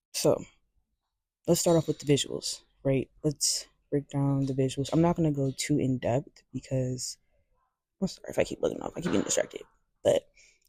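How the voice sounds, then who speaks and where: A soft-spoken woman's very deep, low voice, dark and mellow in tone, at a fairly quick pace with fairly even intonation and a dry, close sound with no echo. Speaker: music commentator. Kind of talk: casual vlog. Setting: library. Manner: halting.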